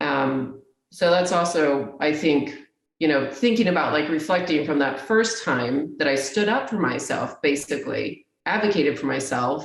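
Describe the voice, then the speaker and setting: Amid audible room echo, a woman speaks at a fairly slow pace with a very deep, low pitch. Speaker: technology executive. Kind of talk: interview conversation. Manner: slower and lower when asserting herself.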